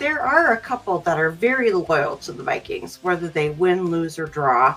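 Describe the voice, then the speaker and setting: With an Upper Midwest accent and music in the background, a woman speaks at a moderate pace with a fairly low pitch, very wide pitch swings and big swings in loudness. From Minnesota. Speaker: host's wife. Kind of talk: casual chat.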